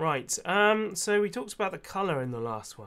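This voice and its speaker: The pitch swings very widely. The voice is quiet. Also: man. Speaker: gaming youtuber. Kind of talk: casual let's play commentary.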